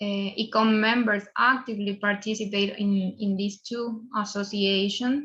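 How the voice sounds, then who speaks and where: A woman with a Spanish accent speaks at a fairly slow pace with hardly any pauses, in a medium pitch and monotone, flat intonation. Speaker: museum professional. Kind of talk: conference presentation. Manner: halting.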